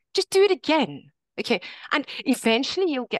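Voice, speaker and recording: A woman's voice makes very wide pitch swings. The sound is dry and close with no echo, over a quiet background. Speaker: online English teacher. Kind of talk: workshop presentation.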